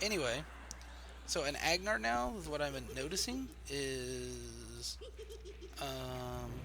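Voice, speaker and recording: With long, frequent pauses, a man talks at a very slow pace. Noticeable background noise and audible room echo are present. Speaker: video game streamer. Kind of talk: casual chat. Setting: live stream. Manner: soft-spoken. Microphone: quiet, voice turned up.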